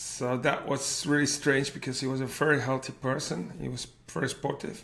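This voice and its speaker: A man's medium-pitched voice with a Flemish accent, fairly even intonation and a moderate pace. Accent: Flemish Belgian. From Flanders, Belgium. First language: Dutch (Flemish). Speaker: cardiac arrest survivor and PhD researcher. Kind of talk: personal testimony in interview. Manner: halting, searching for English words.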